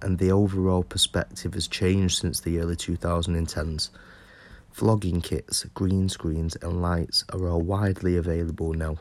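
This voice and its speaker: In a very clean recording with a silent background, a man with a British accent speaks at a very deep, low pitch with fairly even intonation. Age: 20s. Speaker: podcaster. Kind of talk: scripted monologue.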